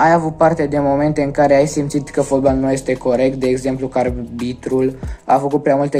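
Delivered at a fairly quick pace, the speech has monotone, flat intonation with faint music in the background. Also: man. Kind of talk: interview answer. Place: home room. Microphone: phone near.

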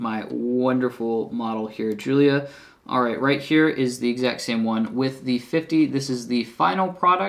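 Ordinary pitch variation runs through a man's speech. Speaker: camera gear reviewer. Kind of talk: casual video review. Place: home room.

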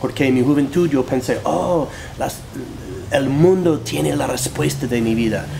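A man speaks at medium pitch with lively intonation and a fairly slow pace. Noticeable background noise runs behind him. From US Northeast, New Jersey. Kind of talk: interview, personal testimony. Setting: studio. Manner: halting, with fillers and repetitions.

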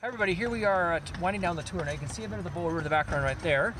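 Over loud background noise, a man talks at a very fast pace, the sound dry with no echo. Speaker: tourist vlogger. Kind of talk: casual vlog chat. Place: street. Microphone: phone near.

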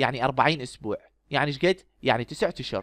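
In an Iraqi accent, a man with a fairly high voice speaks with lively intonation. The recording is very clean and dry, close and without echo, over a silent background. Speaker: medical lecturer. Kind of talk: lecture.

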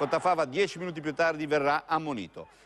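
A man talks over noticeable background noise. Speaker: sports reporter. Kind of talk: sports match-report commentary, voiceover summary of highlights. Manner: brisk, fluent play-by-play delivery with steady rhythm; occasionally hesitates with 'eh' fillers and self-corrects.

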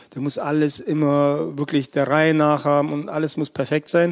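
A man's voice, pitched fairly high, moves along at a moderate pace. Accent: Russian. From Russia, Siberia, then grew up in Germany. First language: Russian (speaking German). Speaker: chef. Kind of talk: casual interview. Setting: restaurant just before opening. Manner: animated.

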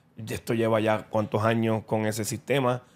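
A man speaking at a moderate pace. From Puerto Rico. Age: 40s. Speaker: boxing content creator. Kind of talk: casual interview. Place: studio. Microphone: studio mic.

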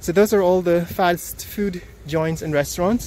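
Light noise sits in the background of a dry recording with no echo. The speech moves at a very slow pace. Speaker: vlogger reviewing a new coffee shop. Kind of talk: casual vlog commentary. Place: street. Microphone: phone near.

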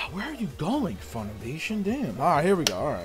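A man's voice with faint music in the background. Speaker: reaction streamer. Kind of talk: casual reaction commentary. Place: home room.

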